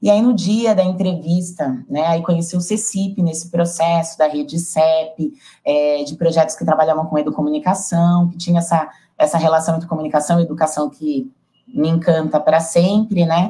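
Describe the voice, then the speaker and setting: A woman with a São Paulo accent speaks at a moderate pace in a fairly low, dark, mellow, somewhat breathy voice with ordinary pitch variation. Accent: São Paulo Brazilian Portuguese. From São Paulo, Brazil. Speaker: project facilitator. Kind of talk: panel discussion.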